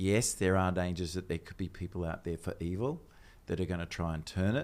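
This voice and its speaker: A man speaks with an Australian accent in a very deep, low voice, his pitch varying in an ordinary way. The pace is fairly quick, and the recording is very clean over a silent background. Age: 60s. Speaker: technology strategist. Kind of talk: casual chat.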